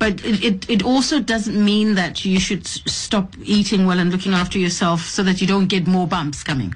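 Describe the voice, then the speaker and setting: The speaker keeps a moderate pace with hardly any pauses and very even loudness. The voice is somewhat breathy, with ordinary pitch variation. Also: woman, medium pitch for a woman. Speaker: radio host. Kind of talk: radio interview.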